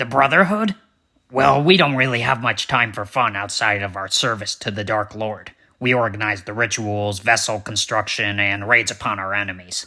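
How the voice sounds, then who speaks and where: In a very clean recording with a silent background, a man does a cartoonish character voice at a medium pitch. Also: moderate pace, ordinary pitch variation. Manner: officious, deadpan.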